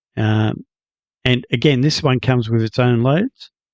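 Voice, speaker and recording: Speaking with an Australian accent, a man has a medium pitch, recorded with a dry, close sound and no echo. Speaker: gaming YouTuber. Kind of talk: tutorial. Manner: casual, hesitant with fillers.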